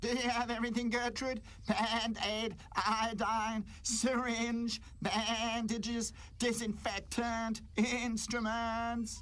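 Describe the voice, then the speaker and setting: A man's cartoonish character voice, extremely high in pitch and very slow in pace. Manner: sarcastic, scolding.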